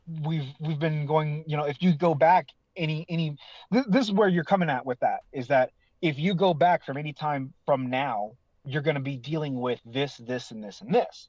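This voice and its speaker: A man with an unremarkable speaking voice talks at a moderate pace in a fairly high pitch, with ordinary pitch variation. The sound is dry and close with no echo, over a quiet background. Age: 30s. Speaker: online forum user. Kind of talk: casual chat.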